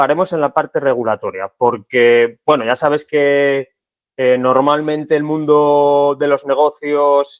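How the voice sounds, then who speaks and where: A man talks fairly slowly in a normal speaking voice, fairly high in pitch, with fairly even intonation. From Spain, Segovia. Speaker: podcast host. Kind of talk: interview conversation.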